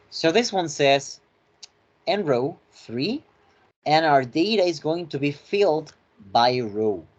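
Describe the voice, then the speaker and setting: A man with a fairly high pitch speaks at a very slow pace. His intonation is lively, broken by long, frequent pauses. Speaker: finance tutorial instructor. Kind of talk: lecture.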